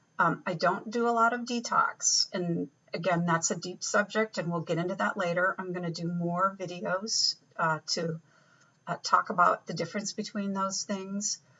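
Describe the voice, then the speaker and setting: A woman talks at a moderate pace with a medium pitch and ordinary pitch variation. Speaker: naturopathic doctor. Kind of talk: casual self-introduction to camera. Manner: hesitant, many fillers.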